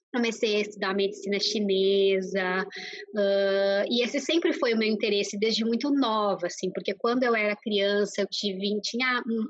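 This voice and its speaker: A woman with a Brazilian accent speaks at a fairly slow pace in a fairly high pitch, with ordinary pitch variation. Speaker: nutritionist. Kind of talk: interview. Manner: hesitant, many fillers.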